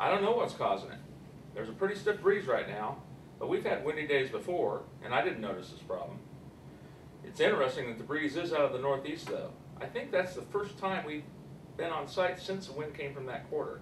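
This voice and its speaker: Light background noise and audible room echo around a man at a fairly quick pace. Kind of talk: acted phone call. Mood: worried, urgent. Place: studio.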